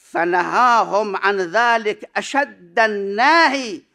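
A man's raised, projected voice with a bright, sharp tone, at a very slow pace against a quiet background. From Iraq. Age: 60s. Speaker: cleric and seminary professor; seminary professor. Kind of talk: conference paper presentation. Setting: conference hall with audience. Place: hall. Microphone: podium.

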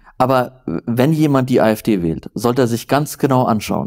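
At a moderate pace, a man speaks with a medium pitch against a quiet background. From northern Germany, near Flensburg; Germany. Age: 30s. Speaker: journalist; journalist guest. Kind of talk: interview conversation. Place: home room. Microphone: lapel.

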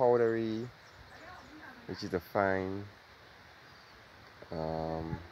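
A man speaks at a low pitch in a slightly mellow tone with ordinary pitch variation.

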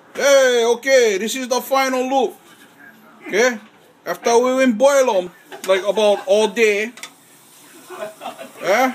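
Over light background noise, a man with an extremely high pitch talks at a fairly slow pace with long, frequent pauses. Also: ordinary pitch variation. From Hawaii. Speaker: home cook. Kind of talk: casual cooking talk to camera. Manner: relaxed, folksy. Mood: relaxed, proud, joking. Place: kitchen. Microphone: phone near.

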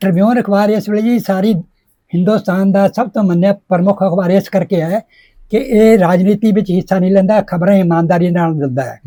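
A man's voice sits high in pitch, with a dark, mellow tone and fairly even intonation. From Jalandhar district, Punjab, India. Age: 80s+. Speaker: retired government press worker and poet. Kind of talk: interview answer.

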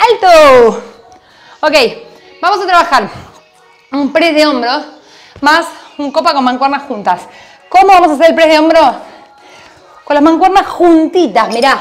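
A woman speaks at a high pitch and a fairly slow pace, leaving long, frequent pauses. Faint music plays in the background. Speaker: fitness instructor. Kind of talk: workout class coaching cues. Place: home room.

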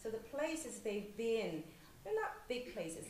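Over light background noise and with audible room echo, a woman of fairly high pitch speaks at a moderate pace. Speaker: novelist. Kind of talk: panel discussion. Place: hall. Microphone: podium.

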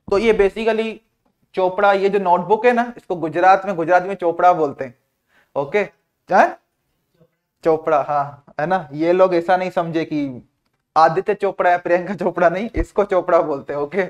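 Against a quiet background, a man with a high voice talks at a moderate pace in a playful tone. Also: fairly even intonation. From India. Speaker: online exam-prep teacher. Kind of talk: live online class lecture. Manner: repetitive, words said several times; casual and playful. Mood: jovial, laughing aside. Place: classroom. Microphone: lapel.

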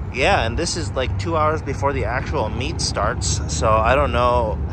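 A man at a moderate pace, the sound dry with no echo, over noticeable background noise. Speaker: vlogger filming the car meet. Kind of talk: casual vlog chat. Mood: excited, amused. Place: street. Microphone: phone near.

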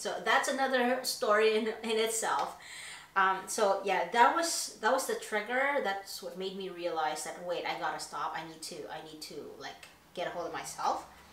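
This moderately paced voice has lively intonation and audible room echo. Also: woman, big swings in loudness. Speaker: YouTuber. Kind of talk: personal confession vlog. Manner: hesitant, many fillers. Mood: candid, reflective. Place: home room.

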